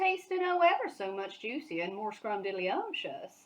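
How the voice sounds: Natural reading voice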